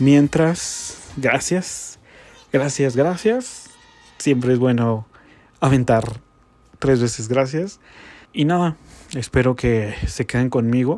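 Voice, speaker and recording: Long, frequent pauses in a very slow, medium-pitched male voice with ordinary pitch variation. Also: very even loudness. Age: 20s. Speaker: podcaster. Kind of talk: casual monologue. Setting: home bedroom.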